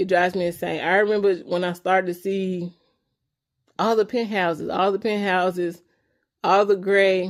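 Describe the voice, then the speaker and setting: The speaker talks in a Memphis accent with an animated tone. The pace is moderate. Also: woman. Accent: Southern US, Memphis. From US South, Memphis, Tennessee. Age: 30s. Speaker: beauty vlogger. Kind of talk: casual vlog rant. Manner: slight slurring of words.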